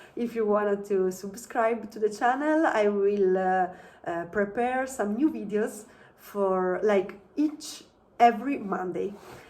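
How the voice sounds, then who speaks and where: In an Italian accent, a woman speaks at a fairly slow pace with medium pitch and ordinary pitch variation. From Italy. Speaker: travel vlogger. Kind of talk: casual vlog talk to camera. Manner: halting, many fillers.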